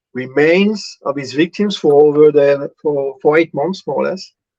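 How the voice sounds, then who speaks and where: Fairly high in pitch, a man speaks with a French accent at a fairly slow pace. His intonation is fairly even, and the sound is dry and close with no echo. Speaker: convicted killer, artist. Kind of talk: live interview. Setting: video call. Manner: hesitant, many fillers.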